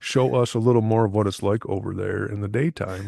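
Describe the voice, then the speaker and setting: Here is a man with an American accent and an unremarkable speaking voice, fairly low in pitch with ordinary pitch variation. The background is quiet. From Michigan. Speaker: podcast host. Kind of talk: casual chat.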